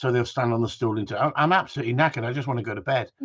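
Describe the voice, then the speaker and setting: Against a quiet background, a man with an English accent talks at a very fast pace, somewhat breathy, with ordinary pitch variation. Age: 60s. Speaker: gundog trainer. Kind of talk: casual chat. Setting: live stream. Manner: animated.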